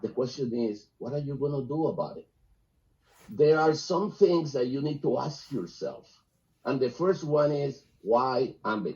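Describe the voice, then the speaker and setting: Fairly high in pitch and somewhat breathy, a man speaks at a fairly slow pace. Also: ordinary pitch variation. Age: 60s. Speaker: business opportunity presenter. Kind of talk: sales pitch.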